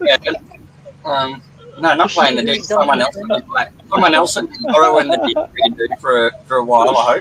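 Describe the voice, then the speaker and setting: Noticeable background noise sits under this recording. A man with an Australian accent talks at a fairly quick pace. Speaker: livestream commentator. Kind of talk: casual chat.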